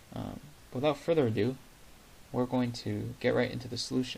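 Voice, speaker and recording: A soft-spoken man talks at a fairly quick pace. His pitch sits in the medium range. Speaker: math video creator. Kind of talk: tutorial.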